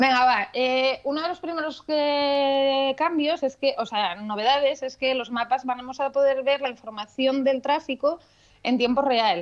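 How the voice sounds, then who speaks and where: Fairly slow, high-pitched female speech with ordinary rise and fall in pitch. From Asturias, Spain. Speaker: marketing professional, tech segment contributor. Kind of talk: radio chat segment.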